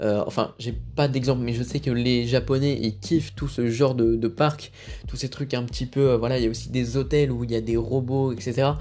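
Speaking at a fairly quick pace, a man with a medium pitch uses fairly even intonation and has a dark, mellow tone. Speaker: film podcast host. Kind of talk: casual solo podcast commentary. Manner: hesitant, many fillers.

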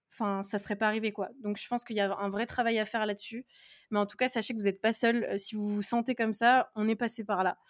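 A woman with a fairly high pitch speaks very fast in a monotone, flat delivery, on a very clean recording with a silent background. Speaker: podcast host, pharmacy student. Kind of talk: casual chat.

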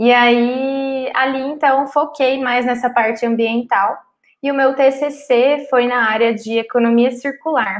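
A woman with a high pitch talks at a very slow pace. Her pitch shows ordinary variation. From Cuiabá, Mato Grosso, Brazil. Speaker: chemical engineering student. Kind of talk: podcast interview.

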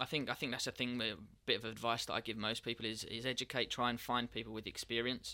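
A man speaks very fast with a southeast English accent, his tone bright and sharp. His intonation stays flat and monotone. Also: medium pitch for a man. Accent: south-east English. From England, Kent. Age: 30s. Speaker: professional trader, business owner. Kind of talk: elevator pitch; casual interview chat. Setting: studio.

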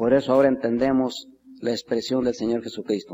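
In a solemn tone, a man speaks at medium pitch. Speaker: preacher. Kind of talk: sermon. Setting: church. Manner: earnest, solemn pastoral delivery, unhurried and reverent; rising, warm exhortation building to a closing benediction.

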